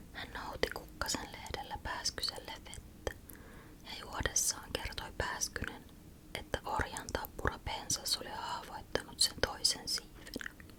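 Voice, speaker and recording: A woman whispering at a very slow pace, calm in tone, with big swings in loudness and noticeable background noise. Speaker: ASMR creator. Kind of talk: whispered bedtime story reading. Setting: studio microphone close up. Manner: whispered, soft, calm.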